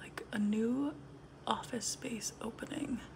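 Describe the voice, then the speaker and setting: The speaker, a woman, whispers. She goes very slowly. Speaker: ASMR content creator. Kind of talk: ASMR get-ready-with-me, casual talk to camera. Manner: soft-spoken. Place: home room. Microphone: phone near.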